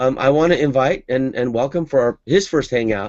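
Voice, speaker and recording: Against a quiet background, a man speaks at a fairly quick pace with medium pitch, ordinary pitch variation and an ordinary speaking voice. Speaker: online marketing coach and webinar host. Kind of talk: live video hangout presentation. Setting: home office, live video broadcast.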